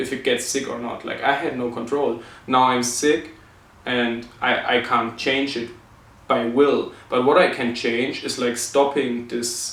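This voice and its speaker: Over noticeable background noise and audible room echo, a man with a non-native accent speaks fairly slowly at medium pitch in a monotone with flat intonation. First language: not English. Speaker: vlogger with chronic illness. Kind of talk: personal reflection vlog. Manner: halting, many fillers.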